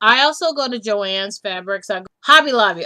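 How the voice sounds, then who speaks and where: Her tone bright and sharp, a woman speaks with lively intonation. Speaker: sewing vlogger. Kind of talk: casual chat. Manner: fast; halting.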